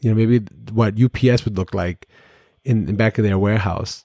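A man with an American accent speaks at a moderate pace in a dark, mellow tone, on a very clean recording with a silent background. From Brooklyn, New York. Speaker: podcast host, retired police officer and Navy veteran. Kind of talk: solo podcast monologue, personal story. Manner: halting, many fillers.

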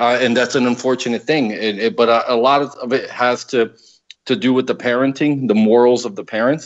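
A man's normal speaking voice at a medium pitch, with fairly even intonation and a fairly quick pace. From Paterson, New Jersey, US. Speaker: political columnist. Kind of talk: casual political talk show discussion.

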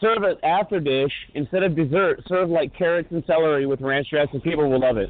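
Here is a man with an ordinary speaking voice, pitched fairly high. He talks at a fairly quick pace with very even loudness. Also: ordinary pitch variation. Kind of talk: heated argument on community call. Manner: confrontational.

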